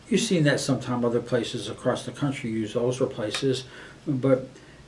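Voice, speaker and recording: With an American accent, a man talks at a medium pitch and fairly even intonation while noticeable background noise carries on behind him. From Western New York State. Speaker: student union director. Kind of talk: interview. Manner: hesitant, many fillers and restarts.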